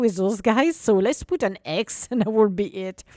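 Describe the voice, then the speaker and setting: A woman speaks at a fairly quick pace in a non-native accent, her animated tone and lively intonation captured in a dry, close sound with no echo. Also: very clean recording, silent background. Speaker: podcast host and business coach. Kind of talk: solo motivational podcast talk. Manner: animated, laughs often.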